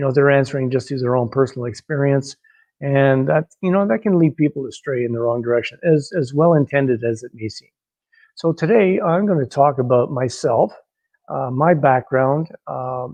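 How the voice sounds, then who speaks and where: A man's plain, everyday voice, fairly high in pitch, at a moderate pace with ordinary pitch variation. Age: 60s. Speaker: personal trainer. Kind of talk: personal testimony monologue. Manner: casual with many fillers.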